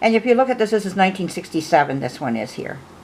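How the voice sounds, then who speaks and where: There is noticeable background noise behind a woman's voice. She talks at a very fast pace and medium pitch. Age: 50s. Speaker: doll collector and restorer vlogger. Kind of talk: casual show-and-tell vlog. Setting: home, late at night. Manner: chatty, hesitant with fillers.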